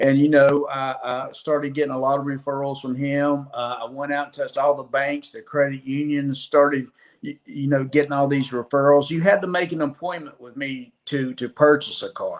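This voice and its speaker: A fairly high-pitched man speaks with an Alabama accent at a moderate pace, with hardly any pauses. His intonation is monotone and flat, with big swings in loudness. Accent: Southern US (Alabama). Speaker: former car dealer, construction sales. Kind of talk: podcast interview.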